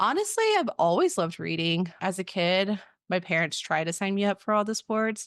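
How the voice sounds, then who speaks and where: In an American accent and an unremarkable speaking voice, a woman talks at a moderate pace and medium pitch with ordinary pitch variation and very even loudness, recorded dry and close with no echo against a quiet background. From Texas (Waco). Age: 30s. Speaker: podcast co-host, education administrator. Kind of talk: casual self-introduction.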